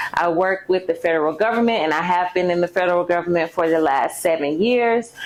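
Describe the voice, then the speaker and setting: A woman speaks with a slight Southern US accent. Noticeable background noise sits behind her. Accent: slight Southern twang. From Mississippi, US South. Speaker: YouTuber and personal finance coach. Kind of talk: casual vlog introduction.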